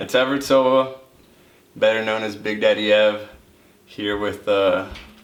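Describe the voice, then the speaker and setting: Amid noticeable background noise and audible room echo, a man talks with a fairly low pitch. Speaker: college runner. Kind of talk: casual interview monologue. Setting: seated on camera.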